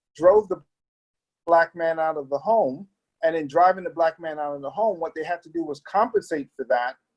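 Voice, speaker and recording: The pace of this man is fairly quick. His voice sits high. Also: dry, close sound with no echo. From Brooklyn, New York (born in Trinidad, moved at seven). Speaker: pastor and community leader. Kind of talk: interview.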